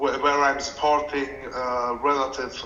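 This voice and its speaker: A man's fairly even intonation, with audible room echo and noticeable background noise. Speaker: community member, finance professional. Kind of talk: community call question. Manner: halting, many repeated words.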